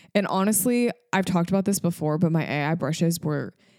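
Her voice fairly low with a dark, mellow tone, a woman speaks at a moderate pace. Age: 20s. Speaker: podcast host and wedding photographer. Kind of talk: casual solo podcast chat.

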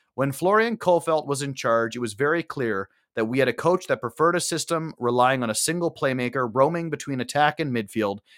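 In a normal speaking voice, a man talks at a moderate pace with lively intonation and a fairly high pitch, recorded very cleanly and dry, close with no echo over a silent background. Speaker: podcast host. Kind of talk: casual chat, post-match discussion.

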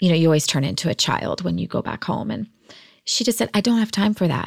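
A woman with a plain, everyday voice at medium pitch, with lively intonation, in a very clean recording with a silent background. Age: 40s. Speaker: entrepreneur, artist and cancer survivor. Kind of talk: casual interview conversation.

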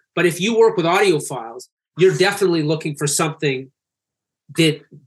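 A man with a Canadian accent talks at a fairly quick pace, his fairly high pitch showing ordinary variation. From Canada. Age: 40s. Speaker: music tech founder. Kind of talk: casual interview. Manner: fast.

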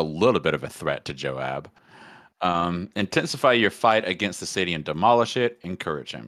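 A man speaks at a moderate pace in an animated tone, his pitch swinging very widely. The recording is very clean, with a silent background. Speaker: podcast host. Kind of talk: casual comedic banter and bible reading. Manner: joking, animated, humorous.

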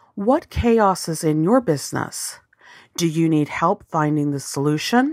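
With an American accent and a plain, everyday voice, a woman speaks fairly slowly at a fairly low pitch, her intonation lively. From US South, Arkansas. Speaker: business coach, podcast host. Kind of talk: scripted podcast monologue.

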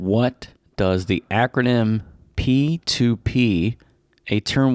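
The pitch varies in an ordinary way in a natural reading voice.

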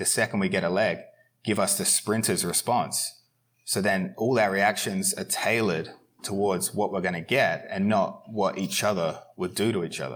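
The pace here is moderate. A man talks with a fairly low pitch. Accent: Australian. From Australia. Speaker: professional grappler. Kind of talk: casual interview chat.

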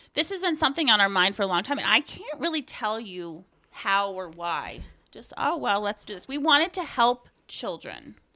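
A woman's fairly high, bright, sharp voice at a moderate pace, with very wide pitch swings and big swings in loudness. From northern Maine (Aroostook County). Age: 40s. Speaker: soap maker and foster parent. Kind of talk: testimony.

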